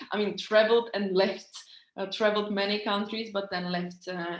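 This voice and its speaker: Medium in pitch, a woman speaks with a Czech accent. Her intonation stays monotone and flat. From Czech Republic. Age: 30s. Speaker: business coach. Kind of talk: online training webinar. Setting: recorded online meeting. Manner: halting, many fillers.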